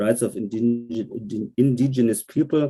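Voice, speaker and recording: In a German accent, a man speaks fairly slowly with a dark, mellow tone and fairly even intonation. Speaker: German member of parliament. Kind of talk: online panel discussion. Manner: halting, many repetitions and fillers.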